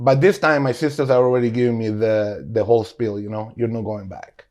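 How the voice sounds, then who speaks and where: Speaking with a Spanish accent, a man keeps a medium pitch that varies in a usual way. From Guatemala. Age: 40s. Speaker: restaurant owner. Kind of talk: casual interview.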